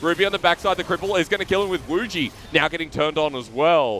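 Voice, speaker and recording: A man speaks very fast with an Australian accent and a high pitch. Noticeable background noise is present. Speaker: esports commentator. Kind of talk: casual banter; live commentary. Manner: animated.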